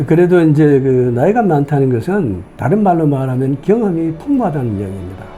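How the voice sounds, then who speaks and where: A man's fairly high voice with lively intonation, music in the background. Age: 70s. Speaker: retiree and student pilot. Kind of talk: interview answer.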